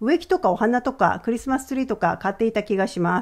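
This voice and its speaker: An ordinary speaking voice talks at a fairly quick pace with lively intonation. The background is quiet. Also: woman. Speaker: finance educator. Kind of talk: educational video monologue.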